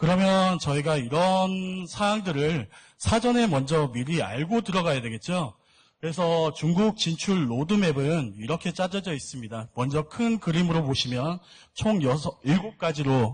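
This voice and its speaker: Against a quiet background, an ordinary speaking voice moves at a fairly slow pace with lively intonation. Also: man. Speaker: seminar speaker on cosmetics export. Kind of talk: lecture.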